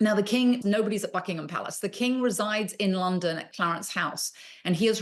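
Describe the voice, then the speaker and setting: A woman with a British accent, ordinary pitch variation, and a quiet background. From England. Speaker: royal expert. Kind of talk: interview answer, news commentary.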